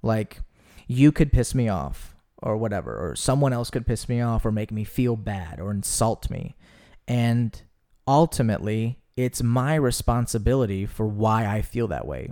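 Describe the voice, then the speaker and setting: The recording is very clean, with a silent background. A man speaks in a dark, mellow tone with ordinary pitch variation. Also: medium pitch for a man, moderate pace. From US South. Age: 20s. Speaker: actor and podcast host. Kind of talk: casual chat.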